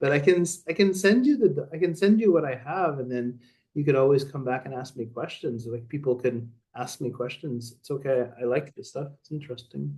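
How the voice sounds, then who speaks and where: Speaking at a fairly quick pace with a Canadian accent, a man uses a fairly high pitch with ordinary pitch variation, a dark, mellow tone, a somewhat breathy edge, and big swings in loudness. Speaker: professor of science education. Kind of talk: online seminar Q&A. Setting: video call. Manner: fast.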